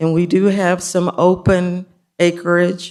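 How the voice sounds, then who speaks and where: On a very clean recording with a silent background, a woman speaks very slowly with a fairly low pitch. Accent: American. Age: 70s. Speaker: public commenter, biologist. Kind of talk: public comment at county meeting.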